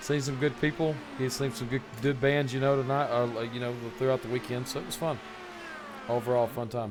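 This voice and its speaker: A man with a medium pitch talks at a fairly quick pace in a monotone, flat intonation. There is noticeable background noise. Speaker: sim racing broadcast commentator. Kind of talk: live commentary. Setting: live stream broadcast. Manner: casual, halting.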